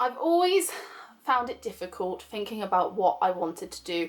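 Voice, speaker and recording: A woman with a West Country accent at a moderate pace, amid noticeable background noise. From England, Somerset. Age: 20s. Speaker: vlogger. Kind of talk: personal vlog. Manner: casual.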